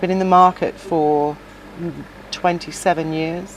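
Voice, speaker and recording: Over noticeable background noise, a woman speaks at a fairly low pitch in a flat, monotone way. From South Pacific Islands. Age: 60s. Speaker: shop owner. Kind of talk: interview.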